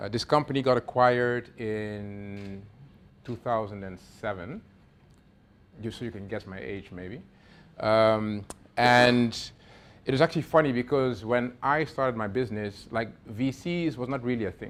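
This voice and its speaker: In a very clean recording with a silent background, a man of medium pitch speaks at a moderate pace with ordinary pitch variation, big swings in loudness and long, frequent pauses. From Netherlands. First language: Dutch. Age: 40s. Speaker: venture capital investor. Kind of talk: workshop talk. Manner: casual, filler-heavy.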